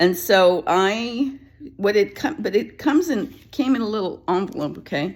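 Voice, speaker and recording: Her intonation lively, a woman speaks at medium pitch. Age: 60s. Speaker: vlogger. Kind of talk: casual vlog talk. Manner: rambling, self-interrupting.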